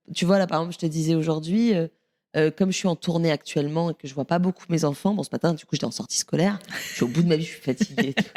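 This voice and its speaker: A woman's fairly low, dark, mellow voice at a very fast pace with ordinary pitch variation. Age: 30s. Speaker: stand-up comedian. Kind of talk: casual chat.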